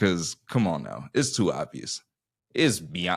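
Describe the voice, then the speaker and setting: With a Southern US accent, a man talks at a moderate pace with vocal fry. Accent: Southern US twang. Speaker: musician and entrepreneur. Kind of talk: casual podcast conversation.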